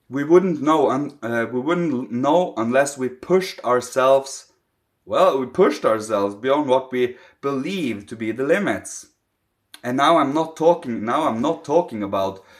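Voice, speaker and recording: A man speaks with a non-native accent at medium pitch. His pace is fairly slow and his pitch varies in an ordinary way. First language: not English. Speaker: spiritual teacher. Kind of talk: spiritual talk to camera.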